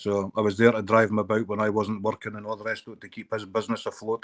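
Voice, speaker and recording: This man has a Scottish accent and a fairly low pitch. He talks at a fairly quick pace. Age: 50s. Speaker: live streamer. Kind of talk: casual chat.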